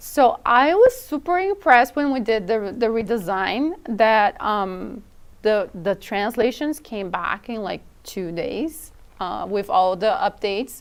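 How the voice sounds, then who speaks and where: On a very clean recording with a silent background, a woman with a non-native accent speaks at a fairly slow pace in a fairly high voice with lively intonation. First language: not English. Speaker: product team member. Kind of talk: casual chat.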